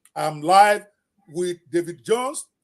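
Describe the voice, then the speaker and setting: Sounding animated, a man speaks with a high pitch and ordinary pitch variation. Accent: non-native. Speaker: podcast host. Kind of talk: live interview show. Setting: livestream video interview.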